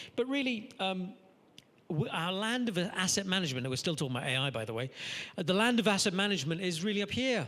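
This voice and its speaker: This man talks very fast in a high, bright, sharp voice with very wide pitch swings, and audible room echo surrounds him. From Trinidad. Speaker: structural engineering consultant. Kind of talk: lecture.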